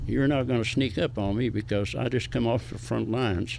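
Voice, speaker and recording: This man speaks in an Appalachian accent at a medium pitch. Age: 90s. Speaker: war veteran. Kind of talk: interview, recounting war memories.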